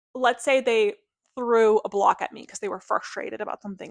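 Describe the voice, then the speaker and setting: Fairly high and fairly quick, a woman speaks with fairly even intonation. The recording is very clean, dry and close, with no echo and a silent background. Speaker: speech therapist and parenting podcast host. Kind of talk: podcast tutorial monologue. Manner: calm, neutral tone in demonstrations.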